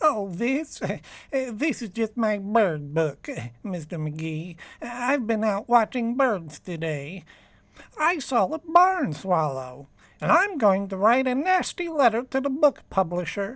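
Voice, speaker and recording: A man puts on a character voice, pitched high with very wide pitch swings. He talks at a fairly slow pace. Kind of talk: 1940s radio comedy. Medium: audio drama. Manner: timid, mild, hesitant.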